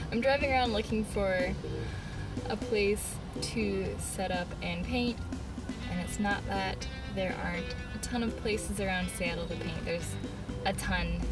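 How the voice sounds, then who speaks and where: Loud music plays in the background. The speech comes at a fairly slow pace with long, frequent pauses. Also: woman. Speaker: artist vlogger. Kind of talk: casual vlog chat. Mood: cheerful, laughing. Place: car. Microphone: phone near.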